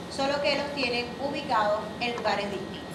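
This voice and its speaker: Noticeable background noise and audible room echo fill the recording. The woman speaking has lively intonation. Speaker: biology teacher. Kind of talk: lecture.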